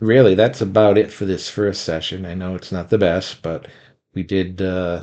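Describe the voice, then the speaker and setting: A man with a very deep, low pitch and a dark, mellow tone speaks at a moderate pace with fairly even intonation. His loudness swings widely against a quiet background. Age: 60s. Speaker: gaming channel host. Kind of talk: casual monologue. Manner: halting with frequent fillers.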